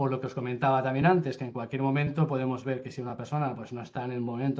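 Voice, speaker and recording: Fairly even intonation from a man at medium pitch. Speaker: software demo presenter. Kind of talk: product demo in a webinar. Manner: fast.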